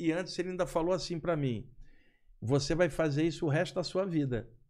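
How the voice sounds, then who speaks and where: The man's pitch runs fairly high with ordinary variation, set against a quiet background. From Brazil, Rio de Janeiro. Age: 60s. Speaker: spiritual researcher and lecturer; lecturer. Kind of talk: podcast interview. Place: studio. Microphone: studio mic.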